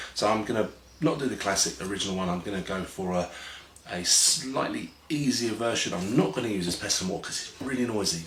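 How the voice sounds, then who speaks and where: A man's quiet, raspy, fairly low put-on character voice at a very fast pace, over light background noise. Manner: quiet and hushed, voice kept down.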